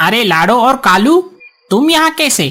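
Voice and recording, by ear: A cartoonish character voice at a fairly high pitch with very wide pitch swings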